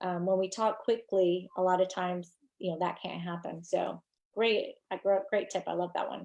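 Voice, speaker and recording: A woman with an American accent speaks in a normal speaking voice at medium pitch, at a moderate pace with fairly even intonation, over a quiet background. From New York. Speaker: social media marketing coach. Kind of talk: live stream training. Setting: live video stream.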